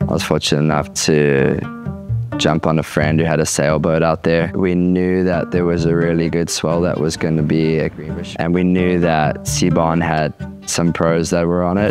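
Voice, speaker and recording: A man's very deep, low voice in a flat monotone, at very even loudness, dry with no echo and with clear music in the background. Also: moderate pace. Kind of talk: interview answer. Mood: relaxed, soft-spoken storytelling. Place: home room. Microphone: lapel.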